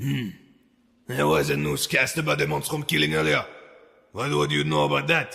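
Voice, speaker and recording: Using a put-on character voice, a man speaks with a very deep, low pitch and long, frequent pauses. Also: moderate pace. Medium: read story. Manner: gruff, curt, domineering.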